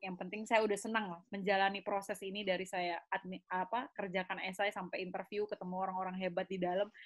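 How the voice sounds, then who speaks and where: Here a woman talks at a fairly quick pace. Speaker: graduate student and youth organization founder. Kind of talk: podcast interview. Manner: animated.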